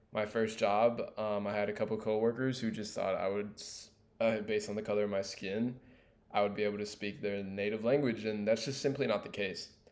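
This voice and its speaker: A man with a Californian accent speaks at a fairly quick pace in a fairly low pitch, his intonation monotone and flat. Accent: Californian American English. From Los Angeles, US. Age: 20s. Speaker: student. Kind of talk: class presentation monologue. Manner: casual with fillers.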